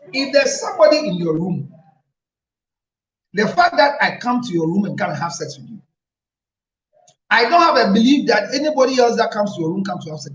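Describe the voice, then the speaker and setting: Audible room echo surrounds a man speaking very fast in a high, animated voice with very wide pitch swings, big swings in loudness, and long, frequent pauses. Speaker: relationship counselor. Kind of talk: advice talk.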